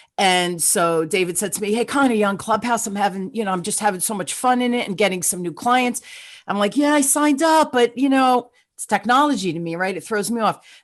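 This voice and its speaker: A woman with a New Jersey accent, fairly high pitch, lively intonation, big swings in loudness and a fairly quick pace, against a quiet background. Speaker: podcast host. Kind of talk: interview podcast. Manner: fast; animated.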